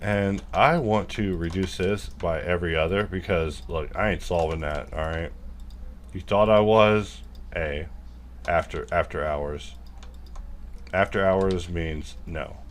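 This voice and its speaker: A man with an American accent speaks in a very deep, low pitch with ordinary pitch variation. His fairly slow pace includes long, frequent pauses, in audible room echo. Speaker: 3D modelling tutor. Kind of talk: live modelling tutorial, casual. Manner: casual, rambling asides.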